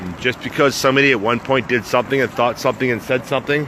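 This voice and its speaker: Someone with an American accent speaks at a fairly quick pace. Noticeable background noise runs underneath. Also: man. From United States. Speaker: travel vlogger and motivational speaker. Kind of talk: casual vlog monologue. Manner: casual, hesitant with fillers.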